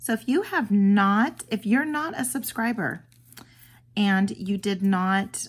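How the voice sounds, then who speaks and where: On a very clean recording with a silent background, a woman with a medium-pitched, somewhat breathy voice speaks fairly slowly with lively intonation. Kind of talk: casual unboxing and craft tutorial. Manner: animated, gushing.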